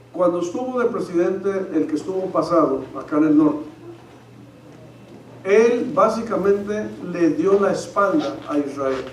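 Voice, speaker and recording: A man with a high pitch speaks at a fairly slow pace, leaving long, frequent pauses, with lively intonation. The room echo is audible and background noise is noticeable. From Mexico. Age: 50s. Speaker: pastor. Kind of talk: sermon.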